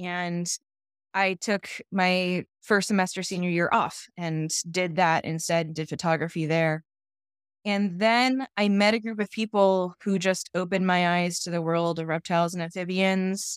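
A woman talks at a fairly slow pace with a General American accent, her pitch medium and her intonation fairly even. It is a plain, everyday voice. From California. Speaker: wildlife photographer and biologist. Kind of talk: casual interview.

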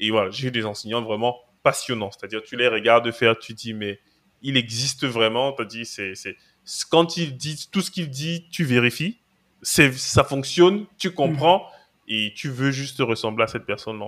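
A man's medium-pitched voice at a moderate pace, with ordinary pitch variation, big swings in loudness, and a very clean recording over a silent background. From Cameroon. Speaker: cloud and DevOps engineer, trainer. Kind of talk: podcast interview.

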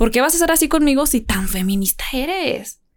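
A woman with an ordinary speaking voice, lively intonation and a moderate pace, on a very clean recording with a silent background. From Jerez, Zacatecas, Mexico. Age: 20s. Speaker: university student and social media personality. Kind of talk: casual chat.

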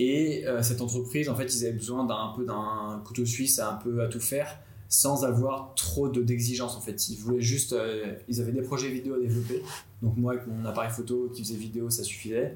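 At a moderate pace, a man speaks at a medium pitch with fairly even intonation. Noticeable background noise and audible room echo surround him. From France, Nantes. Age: 20s. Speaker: graphic designer and videographer. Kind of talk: personal story.

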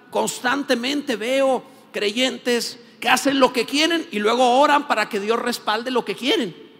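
A man speaks at an extremely high pitch. Noticeable background noise runs underneath. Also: ordinary pitch variation, fairly slow pace. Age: 50s. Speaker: pastor. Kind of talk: sermon.

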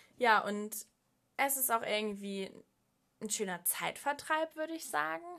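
Her voice is bright and sharp, at a medium pitch. The woman talks at a moderate pace. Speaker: podcast host. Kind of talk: solo podcast monologue. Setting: at home desk.

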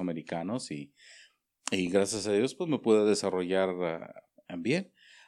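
A man speaks at a fairly slow pace in a fairly low pitch, with ordinary pitch variation. The background is quiet. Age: 50s. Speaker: chef. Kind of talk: interview. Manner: halting, many fillers.

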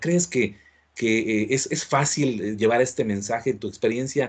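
The background stays quiet. A man talks at a moderate pace with a medium pitch. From Mexico. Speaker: podcast host. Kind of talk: interview. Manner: halting.

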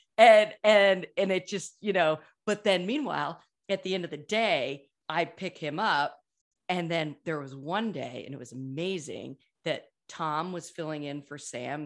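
An unremarkable speaking voice with lively intonation, in a very clean recording with a silent background. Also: woman. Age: 40s. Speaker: podcast host. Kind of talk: casual chat.

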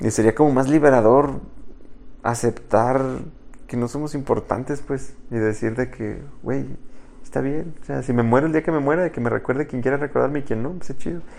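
A man with a Mexican accent speaks at a moderate pace. His voice is medium in pitch with fairly even intonation. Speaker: podcast co-host. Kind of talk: casual chat.

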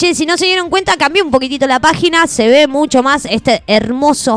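With lively intonation and an animated tone, a woman speaks at a fairly quick pace. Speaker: radio host. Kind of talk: live radio chat.

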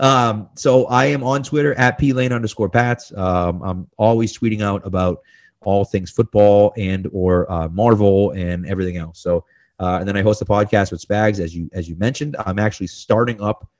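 An ordinary speaking voice from a man with an American accent, fairly low in pitch, with ordinary pitch variation and a moderate pace. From Massachusetts. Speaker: sports blogger and podcaster. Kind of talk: casual interview.

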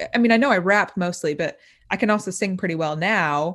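A woman's normal speaking voice, with lively intonation at a fairly quick pace. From US Midwest, Indiana. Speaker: rapper and social media influencer. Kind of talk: interview.

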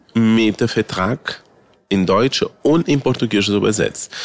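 This is an ordinary speaking voice: a man at a medium pitch with ordinary pitch variation. He talks at a fairly slow pace, and the sound is dry and close with no echo. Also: very even loudness. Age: 50s. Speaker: drag queen. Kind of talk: interview.

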